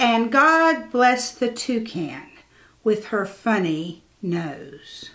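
A woman with a fairly high pitch speaks very slowly in a sing-song way, her very wide pitch swings carrying a warm, playful, bright, sharp tone over a quiet background. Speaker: church storyteller. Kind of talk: bedtime story reading aloud to children, rhyming picture book. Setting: video recording for church channel. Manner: gentle, slow, soothing sing-song cadence; warm and playful, lightly animated. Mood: gentle, expressive. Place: home room. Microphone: lapel.

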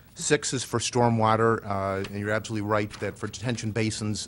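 Speaking at a fairly quick pace, a man with an American accent uses monotone, flat intonation. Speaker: city council member. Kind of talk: public meeting.

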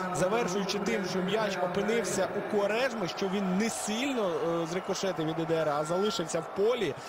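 A man with a high pitch and ordinary pitch variation, speaking at a moderate pace with very even loudness, over noticeable background noise. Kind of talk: live football commentary, analytical play-by-play. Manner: measured, conversational, hesitant with filler sounds.

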